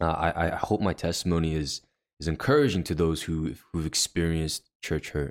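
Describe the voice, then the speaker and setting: Recorded very cleanly against a silent background, a man with a very deep, low voice speaks at a moderate pace with fairly even intonation. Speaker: youth pastor. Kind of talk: casual chat.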